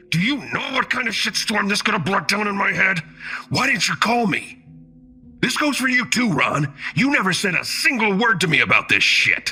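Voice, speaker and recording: In a growling put-on character voice pitched high, a man talks at a moderate pace as faint music plays behind him. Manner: snarling through gritted teeth.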